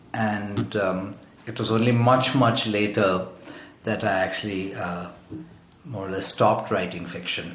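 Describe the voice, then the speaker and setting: A man's fairly low, fairly even voice at a fairly slow pace, with long, frequent pauses, audible room echo and noticeable background noise. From Zambia. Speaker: poet. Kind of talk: interview. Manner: halting, many fillers and repetitions.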